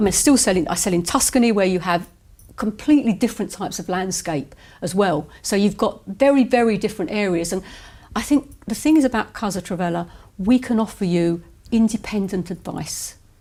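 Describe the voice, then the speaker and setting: Somewhat breathy, a woman talks at a fairly quick pace with lively intonation. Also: medium pitch for a woman. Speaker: estate agent. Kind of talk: interview.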